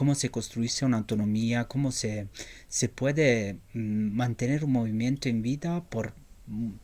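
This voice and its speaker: A man at a medium pitch with an Italian accent, at a fairly slow pace, in a very clean recording with a silent background. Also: ordinary pitch variation. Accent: Italian accent in Spanish, non-native. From Italy. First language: Italian (speaking Spanish). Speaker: journalist. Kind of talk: interview. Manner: halting, many fillers and repetitions.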